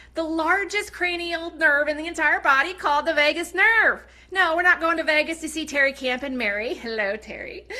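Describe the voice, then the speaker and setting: Over noticeable background noise, a woman with a high pitch talks at a fairly quick pace in a raised, projected voice and an animated tone. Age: 40s. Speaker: network marketing seller. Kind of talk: sales pitch. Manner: fast.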